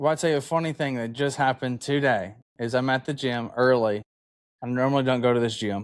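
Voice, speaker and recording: This man has a medium pitch, ordinary pitch variation and an American accent. He talks at a fairly quick pace. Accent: Southern accent, toned down. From Alabama, US South. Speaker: podcast host. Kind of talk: casual interview chat. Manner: casual.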